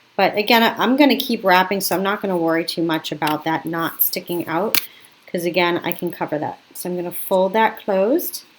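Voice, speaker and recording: Over noticeable background noise, a woman talks at a fairly quick pace with medium pitch and ordinary pitch variation. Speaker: craft teacher. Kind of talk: tutorial. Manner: casual, self-correcting.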